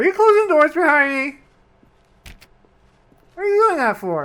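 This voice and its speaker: A put-on character voice with high pitch is delivered at a moderate pace. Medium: game stream. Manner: excitable, chatty.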